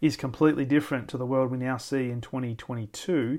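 Man with an Australian accent, fairly high pitch, ordinary pitch variation and a fairly quick pace, on a very clean recording with a silent background. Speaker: podcast host, sales leadership coach. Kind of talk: solo reflective monologue. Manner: natural, conversational.

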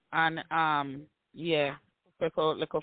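A man's fairly high, monotone voice with flat intonation in a strong Jamaican accent. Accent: Jamaican patois, strong.

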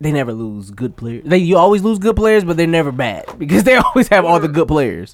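Against music in the background, a man with a high pitch talks at a fairly quick pace with hardly any pauses and very wide pitch swings. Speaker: sports podcast co-host. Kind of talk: mock radio DJ patter, improvised song intro and station ID with laughing banter around it. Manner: halting, improvising; playful, smooth DJ-style delivery.

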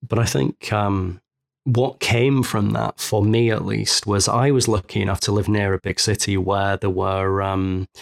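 On a very clean recording with a silent background and a dry, close sound with no echo, a man with a Mancunian accent speaks at a fairly slow pace, with a fairly low pitch and fairly even intonation. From Manchester, England. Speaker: photo retoucher. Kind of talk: interview.

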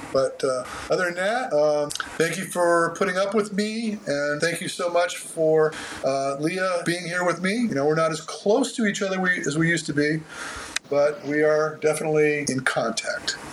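A man's high-pitched voice at a moderate pace, with ordinary pitch variation, over noticeable background noise. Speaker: running coach. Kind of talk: casual interview, explanatory. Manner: talkative, uses analogies, jokey.

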